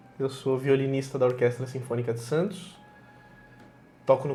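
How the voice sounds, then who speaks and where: A man's medium-pitched voice at a fairly quick pace, fairly even in intonation, with music in the background. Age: 30s. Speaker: violinist. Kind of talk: casual interview chat.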